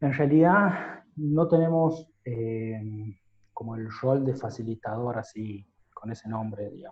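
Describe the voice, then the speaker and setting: A somewhat breathy man at a very slow pace, medium in pitch, with ordinary pitch variation. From Catamarca, Argentina. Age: 30s. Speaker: lawyer. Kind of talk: interview answer.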